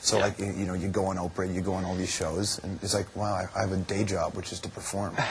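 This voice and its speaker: Fairly low-pitched, a man talks at a very fast pace. Noticeable background noise is present. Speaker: talk show host. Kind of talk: interview question.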